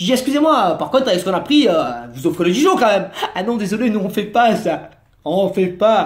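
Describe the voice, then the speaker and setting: Speaking at a fairly quick pace with a Marseille accent, a man sounds animated, his pitch swinging very widely. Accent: southern French (Marseille). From Marseille, southern France. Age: 30s. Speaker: comedian / vlogger. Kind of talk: comic monologue vlog.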